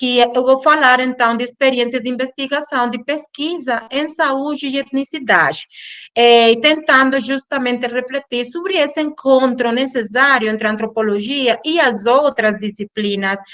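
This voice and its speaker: A non-native accent at a moderate pace, with hardly any pauses and ordinary pitch variation. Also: woman, high pitch for a woman. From Colombia, Caribbean coast (Cartagena). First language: Spanish (speaking Portuguese). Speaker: anthropology professor and researcher. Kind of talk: academic lecture. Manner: halting, with false starts.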